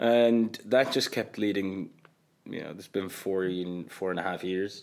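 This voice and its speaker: A man with an Irish accent speaks at a fairly low pitch with fairly even intonation. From Qatar. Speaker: comedian and creator. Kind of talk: casual chat. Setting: studio.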